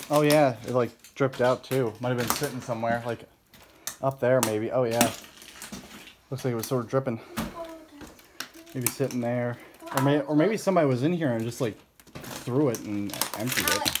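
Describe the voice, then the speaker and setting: Long, frequent pauses at a moderate pace amid loud background noise. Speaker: explorer vlogger. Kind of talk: casual vlog chat. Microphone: phone near.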